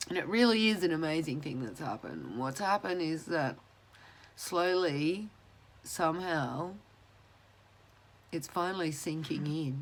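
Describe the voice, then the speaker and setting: A woman with an Australian accent, fairly low in pitch, with lively intonation, a fairly slow pace and long, frequent pauses. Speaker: mental health mentor. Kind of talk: casual vlog talk to camera.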